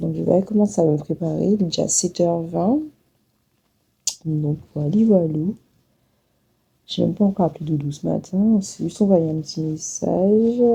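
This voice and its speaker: A dark, mellow, somewhat breathy voice at a moderate pace, broken by long, frequent pauses. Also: woman, fairly low pitch for a woman, ordinary pitch variation. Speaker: travel vlogger. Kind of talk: casual vlog talk. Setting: hotel room.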